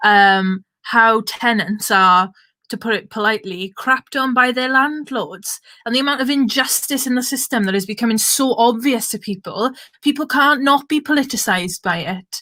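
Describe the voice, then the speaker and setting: In a Welsh Valleys accent, a woman talks at a moderate pace with a fairly high pitch. Her tone is bright and sharp, and her pitch varies in an ordinary way. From Wales (south Wales valleys). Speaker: political activist, event chair. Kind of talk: online panel moderation, casual political talk. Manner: animated, informal.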